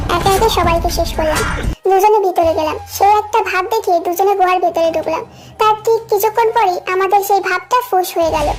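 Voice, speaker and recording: At a moderate pace, a woman talks in an extremely high pitch over clear background noise. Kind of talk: first-person fan story narration. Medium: audio drama.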